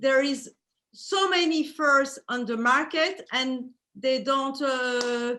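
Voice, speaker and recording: A raised, projected voice with a French accent and a bright, sharp tone. The pace is very slow. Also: woman, high pitch for a woman, ordinary pitch variation. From Belgium. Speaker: fur designer. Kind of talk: interview. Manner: halting.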